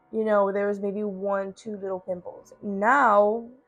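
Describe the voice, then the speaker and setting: Over music in the background, a woman talks at a fairly slow pace in a medium pitch. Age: 20s. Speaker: YouTuber. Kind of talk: casual vlog chat.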